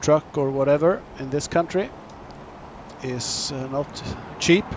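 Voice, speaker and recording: A man with a Swedish accent speaks very slowly in a fairly high voice, his intonation fairly even, with noticeable background noise. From Sweden. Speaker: gaming YouTuber. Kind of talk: gameplay commentary. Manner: halting.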